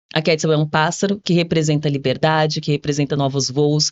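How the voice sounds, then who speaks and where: A woman talks at a fairly quick pace in a very deep, low pitch. Her intonation is monotone and flat. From São Paulo, Brazil (from age six; born in Minas Gerais). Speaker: entrepreneur. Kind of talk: podcast interview.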